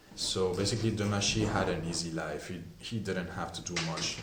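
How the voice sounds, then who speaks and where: Noticeable background noise sits behind the speech, along with audible room echo. The intonation stays fairly even. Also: man. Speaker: perfume reviewer. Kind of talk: product review.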